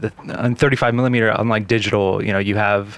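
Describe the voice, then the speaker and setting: On a very clean recording with a silent background, a man speaks in a normal speaking voice, fairly low in pitch, with fairly even intonation. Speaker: filmmaker. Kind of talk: casual chat. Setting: studio.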